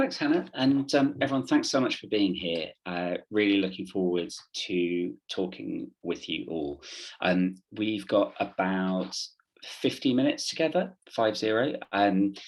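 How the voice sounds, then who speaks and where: Against a quiet background, a man with a British accent talks at a fairly slow pace, his fairly low pitch swinging very widely. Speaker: theatre workshop leader. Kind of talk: online workshop presentation. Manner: hesitant, many fillers.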